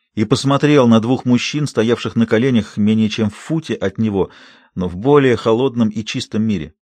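Someone does plain reading aloud. The pitch variation is ordinary.

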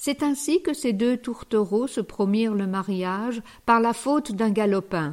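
The speaker uses an unforced reading voice. The words are read aloud.

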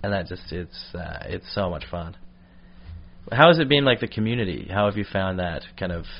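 With an American accent, a man speaks at a moderate pace and fairly low pitch. His intonation is lively, and his loudness swings widely. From British Columbia, Canada (Victoria). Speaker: stand-up comedian. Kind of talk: casual chat. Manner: rambling.

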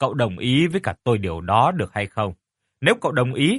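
Over a quiet background, the voice reads in an unforced way.

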